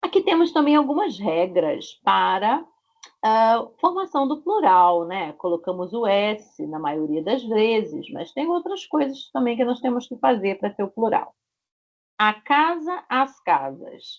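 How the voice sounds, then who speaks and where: A woman speaks in a Rio de Janeiro accent at a very slow pace. Her pitch swings very widely. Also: fairly high pitch for a woman. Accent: Rio de Janeiro (carioca) Brazilian Portuguese. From Brazil, Rio de Janeiro. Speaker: Portuguese language teacher. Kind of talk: online language lesson. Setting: video call. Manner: slow, clear didactic pronunciation.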